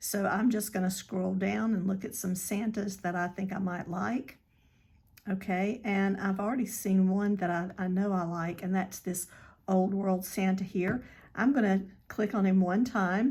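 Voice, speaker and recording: A woman with a medium-pitched, somewhat breathy voice speaks with fairly even intonation. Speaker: crafting tutorial creator. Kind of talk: tutorial. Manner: hesitant, with many fillers.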